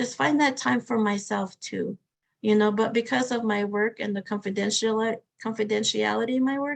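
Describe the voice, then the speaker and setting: A woman speaks with an American accent at a moderate pace, her pitch fairly high. She has a plain, everyday voice with ordinary pitch variation. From Arizona, Hopi. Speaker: victim advocate. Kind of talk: webinar talk, Q&A answers. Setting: online webinar.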